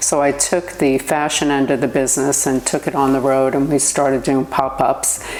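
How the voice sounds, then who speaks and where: Over noticeable background noise, a woman speaks in a New York accent with a very deep, low pitch. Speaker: entrepreneur. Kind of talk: interview.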